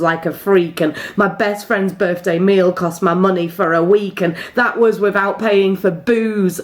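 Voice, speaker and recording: With noticeable background noise around her, a woman speaks at a medium pitch and a fairly slow pace, her intonation fairly even. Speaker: poet. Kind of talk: slam poetry performance.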